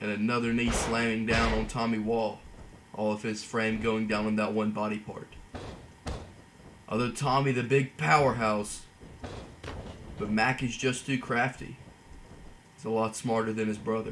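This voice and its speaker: With audible room echo, a man speaks at a moderate pace and medium pitch, monotone and flat, with long, frequent pauses. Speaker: gaming commentator. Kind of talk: play-by-play game commentary. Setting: voiceover recorded while editing.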